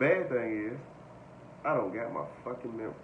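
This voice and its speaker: A man talks in a room with audible echo and a little background noise. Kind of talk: casual vlog chat. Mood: relaxed, laughing at times. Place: home room. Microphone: phone near.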